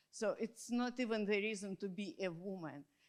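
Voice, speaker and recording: A woman's medium-pitched voice in a Russian accent at a moderate pace. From Russia, Moscow. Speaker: academic conference participant. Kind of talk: panel discussion. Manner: halting.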